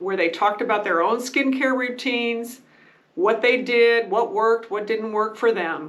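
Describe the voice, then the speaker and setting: Fairly high in pitch with ordinary pitch variation, a woman talks in an unremarkable speaking voice. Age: 60s. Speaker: beauty and skincare vlogger. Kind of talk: casual tutorial talk to camera.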